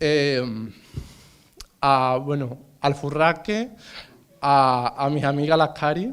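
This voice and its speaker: A man with a fairly high pitch speaks very slowly, with long, frequent pauses and ordinary pitch variation. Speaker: exhibiting artist. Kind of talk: thank-you speech. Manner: halting.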